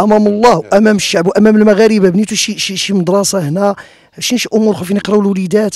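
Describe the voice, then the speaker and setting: A man talks in a high pitch with fairly even intonation. The sound is dry, with no echo. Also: fairly quick pace. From Morocco. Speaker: web TV reporter. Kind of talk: interview. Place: garden. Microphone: handheld.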